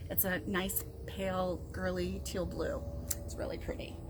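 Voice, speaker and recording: There is audible room echo. Through it, a woman speaks. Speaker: crochet youtuber. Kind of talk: casual chat. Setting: outdoors. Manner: halting with many fillers. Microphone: built-in mic, new microphone not working.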